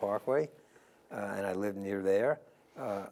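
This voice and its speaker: A moderate pace with a New York accent. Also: man. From US Northeast, New York City (the Bronx). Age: 70s. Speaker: interview guest. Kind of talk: interview.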